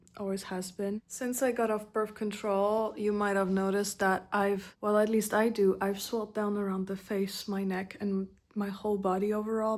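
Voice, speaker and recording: A soft-spoken woman talks at a moderate pace. Her intonation stays flat and monotone. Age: 20s. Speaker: vlogger. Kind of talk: personal vlog.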